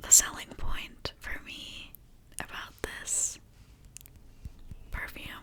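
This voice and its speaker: A woman whispers very slowly, with long pauses coming often, and noticeable noise sits in the background. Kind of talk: ASMR personal attention. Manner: whispered; soft-spoken, gentle.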